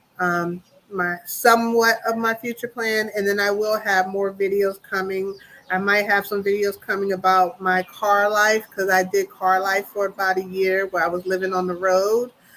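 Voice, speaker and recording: Noticeable background noise accompanies a voice with a DC accent speaking at a moderate pace. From US, Washington DC. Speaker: YouTuber on expat life. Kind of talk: livestream chat. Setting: solo live stream. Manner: casual, filler-heavy.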